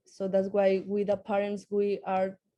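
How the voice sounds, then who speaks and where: A woman speaks at a moderate pace and medium pitch. Her tone is dark and mellow, with monotone, flat intonation. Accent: Spanish. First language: Spanish. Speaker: parent advocate, program graduate. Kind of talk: pitch presentation. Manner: hesitant, with fillers.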